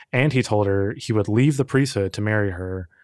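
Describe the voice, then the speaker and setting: A man with an unremarkable speaking voice, fairly low in pitch, talks at a moderate pace with ordinary pitch variation, recorded very cleanly against a silent background with a dry, close sound and no echo. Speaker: podcast producer and co-presenter. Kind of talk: casual true-crime discussion.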